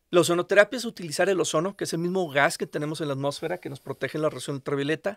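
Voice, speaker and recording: A man with a high-pitched voice and ordinary pitch variation speaks very fast with hardly any pauses, in a dry sound with no echo and a quiet background. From Monterrey, northern Mexico; Mexico. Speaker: physician; podcast guest. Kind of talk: interview. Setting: in person, Querétaro. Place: studio. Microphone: studio mic.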